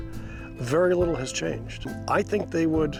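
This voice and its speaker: A man talks at a very slow pace. Music plays in the background. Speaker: rancher or ranch stakeholder interviewed about the ranch. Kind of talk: interview answer.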